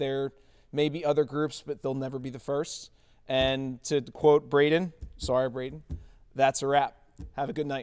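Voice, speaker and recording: A man's fairly high-pitched, monotone voice with flat intonation, a moderate pace and long, frequent pauses. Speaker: teacher. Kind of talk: closing remarks at school event. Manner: loud.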